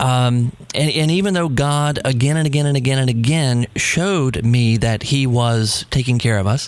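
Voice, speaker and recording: A man with a medium pitch is heard through noticeable background noise. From New England. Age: 40s. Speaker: podcast host. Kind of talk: interview. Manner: halting.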